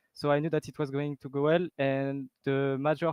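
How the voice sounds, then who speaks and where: A man's monotone, flat delivery in a French accent. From France. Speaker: esports player. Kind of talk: post-match interview.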